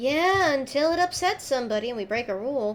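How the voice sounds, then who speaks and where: A woman puts on a character voice, pitched high and delivered at a very fast pace, with clear background noise behind her. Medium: actual play. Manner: measured, placating.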